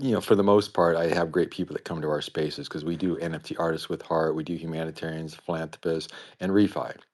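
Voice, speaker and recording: Speaking at a very fast pace with hardly any pauses, a man with an American accent has a very deep, low pitch and fairly even intonation. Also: quiet background. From US Midwest (Iowa, Minnesota). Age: 60s. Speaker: guest on crypto talk show, environmental advocate. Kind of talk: casual self-introduction on live audio chat. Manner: rambling.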